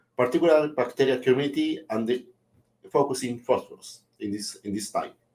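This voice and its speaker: A man with a Spanish accent speaks at a fairly quick pace. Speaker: webinar host, microbiology researcher. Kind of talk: formal opening remarks for a webinar. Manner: halting, with many repetitions and fillers.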